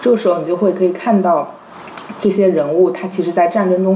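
Noticeable background noise surrounds a woman speaking at medium pitch. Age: young. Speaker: literary translator. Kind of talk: casual chat.

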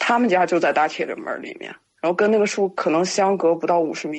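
Speaking at a fairly quick pace, a woman keeps a medium pitch with ordinary variation. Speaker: guest storyteller sharing supernatural experiences. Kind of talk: casual storytelling on a live-streamed podcast. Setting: live stream.

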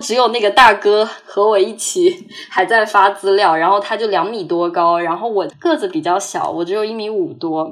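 An unremarkable speaking voice from a woman, medium in pitch, lively in intonation, at a moderate pace with hardly any pauses. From Hangzhou, China. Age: 20s. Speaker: student abroad. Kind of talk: personal testimony.

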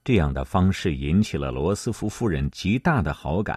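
With vocal fry and a dark, mellow tone, a man speaks fairly slowly with very wide pitch swings, the sound dry and close with no echo over a quiet background. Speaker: podcast narrator. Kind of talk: scripted history documentary narration, read aloud in a solemn, measured tone. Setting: studio. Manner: steady, even-paced and formal, clearly enunciated; lifts slightly for quoted lines.

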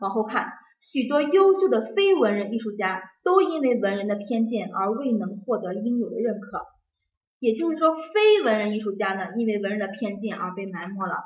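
Using a normal speaking voice, a woman talks at a moderate pace with fairly high pitch and lively intonation. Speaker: exam prep teacher. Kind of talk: lecture.

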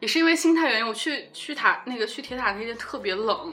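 A woman with a high pitch talks at a fairly quick pace in a raised, projected voice, her pitch swinging very widely. Noticeable background noise and audible room echo fill the recording. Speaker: podcast host. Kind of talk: casual chat.

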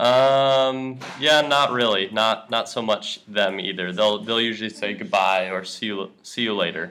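Barely pausing yet speaking very slowly, a man with a fairly low pitch is heard over noticeable background noise. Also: ordinary pitch variation. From USA. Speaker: English teacher. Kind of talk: language lesson chat. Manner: casual with many fillers.

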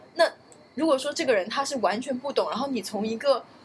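Fairly quick speech over noticeable background noise. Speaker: podcast co-host. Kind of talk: casual chat.

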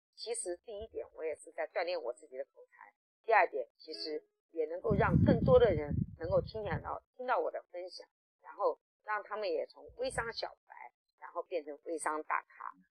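At a moderate pace, the speaker's voice shows big swings in loudness. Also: woman. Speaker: online sales trainer. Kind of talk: testimony. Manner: hesitant fillers.

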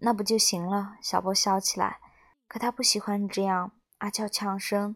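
A woman at medium pitch with monotone, flat intonation and a moderate pace, in a dry, close sound with no echo. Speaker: audio story podcast host. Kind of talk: reading a story aloud.

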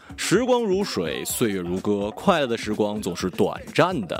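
A man's voice with very wide pitch swings, music playing behind it. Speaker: podcast host. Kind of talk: casual chat. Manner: animated.

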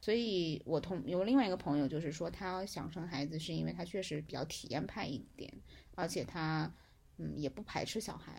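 Very deep and low for a woman, her voice carries vocal fry, ordinary pitch variation and a moderate pace. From Hunan, China. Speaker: friend of the host, former student abroad. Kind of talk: casual chat. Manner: animated.

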